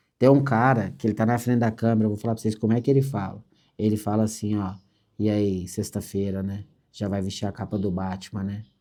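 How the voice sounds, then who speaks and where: Talking at a fairly quick pace over a quiet background, a man has a fairly low pitch and a dark, mellow tone. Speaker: construction franchise executive. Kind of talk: motivational business meeting talk. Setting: meeting with franchisees. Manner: fast; animated.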